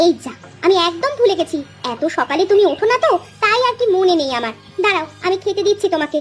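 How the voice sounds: Against faint music in the background, a woman does a cartoonish character voice at an extremely high pitch and a fairly quick pace.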